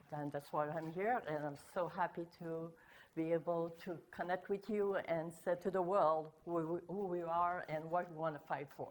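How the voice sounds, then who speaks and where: With a French Canadian accent, a woman speaks at a moderate pace in a fairly low pitch, her intonation fairly even. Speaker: political candidate. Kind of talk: self-introduction.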